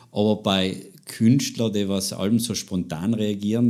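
On a very clean recording with a silent background, a man with a South Tyrolean accent speaks at a fairly slow pace. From South Tyrol, Italy. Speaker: podcast host. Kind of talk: interview. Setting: living room.

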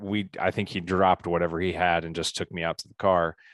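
A man with a Midwestern US accent and a very deep, low voice speaks at a moderate pace, recorded dry and close with no echo over a quiet background. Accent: US Midwest. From Indiana. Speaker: business coach and keynote speaker. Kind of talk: interview.

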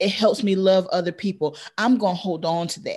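The speaker sounds somewhat breathy and animated, moving at a moderate pace. The background is quiet. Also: woman. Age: 40s. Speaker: educator, coach and business owner. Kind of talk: casual interview.

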